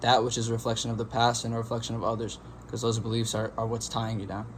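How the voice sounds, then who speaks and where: A man with a medium-pitched, somewhat breathy voice speaks at a very fast pace. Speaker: meditation youtuber. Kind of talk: casual monologue.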